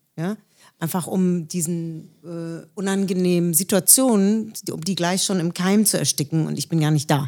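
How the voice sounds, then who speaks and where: On a very clean recording with a silent background, a woman with a fairly low pitch and dark, mellow tone speaks at a fairly slow pace. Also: ordinary pitch variation. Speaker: singer. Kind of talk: interview.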